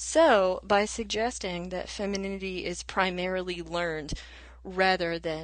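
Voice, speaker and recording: Fairly slow and with ordinary pitch variation, a normal speaking voice comes through in an American accent. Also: woman. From US South. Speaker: adjunct college instructor. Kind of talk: lecture-style explanation.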